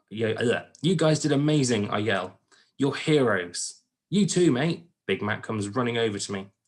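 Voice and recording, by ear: The text is read aloud in a natural voice with lively intonation. The background is quiet.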